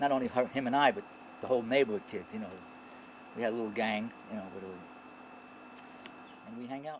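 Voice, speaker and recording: Very fast and with a New York accent, a man of medium pitch talks with ordinary pitch variation, big swings in loudness, and long, frequent pauses. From New York, the Bronx. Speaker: author and Vietnam veteran. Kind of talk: interview. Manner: halting.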